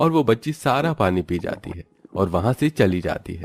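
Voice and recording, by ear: Lively intonation from a man, moderate in pace. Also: slightly mellow tone.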